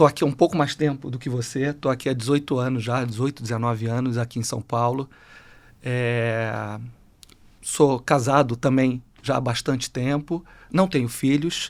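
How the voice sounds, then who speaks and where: In a Rio de Janeiro accent, a man talks at a moderate pace with fairly even intonation on a very clean recording with a silent background. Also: medium pitch for a man. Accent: carioca. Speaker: HR executive. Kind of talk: panel discussion.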